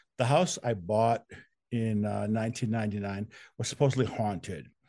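Against a quiet background, a man with an American accent uses an ordinary speaking voice at a medium pitch and a moderate pace. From Wisconsin. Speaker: true crime author. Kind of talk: interview.

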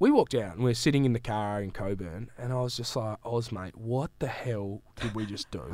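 With an Australian accent, a man speaks at a fairly quick pace with hardly any pauses. His pitch is medium with ordinary variation. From Western Australia, Great Southern region. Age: 30s. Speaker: sports podcaster. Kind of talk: casual chat. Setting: studio.

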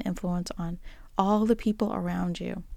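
A woman's warm, dark and mellow voice at medium pitch and a moderate pace, in a very clean recording with a silent background. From Boston, US. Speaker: podcast host. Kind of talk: solo musing monologue. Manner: conversational, warm, with filler words.

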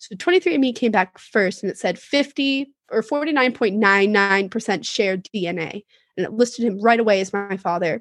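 A woman in an ordinary speaking voice talks at a fairly quick pace and medium pitch, with ordinary pitch variation, in a dry, close sound with no echo over a quiet background. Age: 20s. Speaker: podcast guest. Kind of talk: casual chat.

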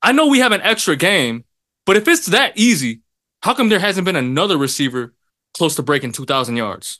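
A bright, sharp tone in an American accent, fairly quick, with very wide pitch swings over a quiet background. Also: man, high pitch for a man. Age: 20s. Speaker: sports podcast co-host. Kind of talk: casual chat.

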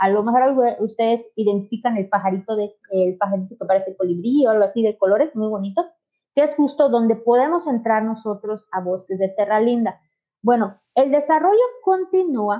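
With lively intonation and a fairly high pitch, a woman talks at a moderate pace in an ordinary speaking voice. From Mexico, Yucatán (Mérida). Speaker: real estate sales agent. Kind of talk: livestream sales presentation.

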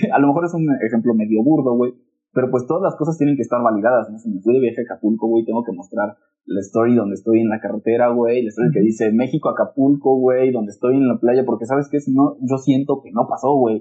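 With music in the background, a man talks very fast at medium pitch with ordinary pitch variation. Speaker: podcast co-host. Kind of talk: casual chat. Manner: loud; animated.

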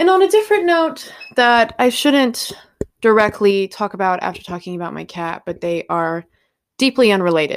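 At a moderate pace, a woman with a fairly high pitch sounds animated, her pitch swinging very widely and her loudness rising and falling sharply. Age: 20s. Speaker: podcast host. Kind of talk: casual monologue. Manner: rambling, animated.

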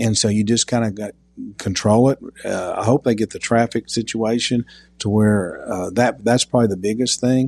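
With an East Tennessee accent, a man speaks at a medium pitch in a dark, mellow tone, the sound dry and close with no echo. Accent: East Tennessee Southern US. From Knoxville, Tennessee (North Knoxville). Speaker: insurance agency owner. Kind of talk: casual interview. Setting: outdoor backyard.

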